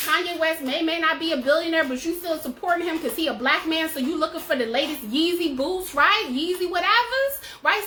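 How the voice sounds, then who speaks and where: With noticeable background noise behind her, a woman uses a raised, projected voice at a fairly quick pace, her tone animated and her pitch extremely high. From US South. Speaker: personal finance educator. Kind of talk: tutorial. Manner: casual.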